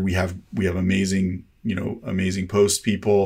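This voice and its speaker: With an American accent, a man speaks in a relaxed tone, fairly low in pitch and monotone, flat in intonation. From South Texas. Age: 40s. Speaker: cinematographer. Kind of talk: casual interview chat. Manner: relaxed, laid-back.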